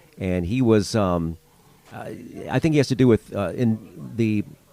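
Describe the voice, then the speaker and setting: A man with an American accent has a plain, everyday voice, pitched fairly low with lively intonation. The sound is dry and close, with no echo. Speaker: radio announcer and podcast host. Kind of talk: interview answers, casual conversation.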